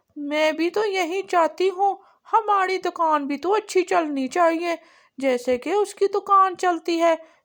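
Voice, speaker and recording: A cartoonish character voice from a woman, extremely high in pitch. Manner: complaining.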